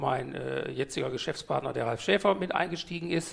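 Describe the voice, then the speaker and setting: A man talks with vocal fry. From Ruhr area, Germany (Mülheim an der Ruhr). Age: 50s. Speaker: DJ and event organizer. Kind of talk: interview.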